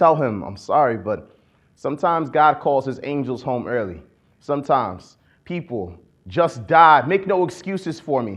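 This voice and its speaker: A man talks with an American accent. His voice carries vocal fry. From Akron, Ohio. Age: 20s. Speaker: poet-activist. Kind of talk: spoken-word poetry performance. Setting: conference stage.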